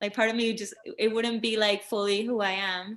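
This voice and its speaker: The voice belongs to a woman with a Spanish accent. Her tone comes across bright and sharp. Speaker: singer-songwriter. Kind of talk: interview. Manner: casual, filler-heavy.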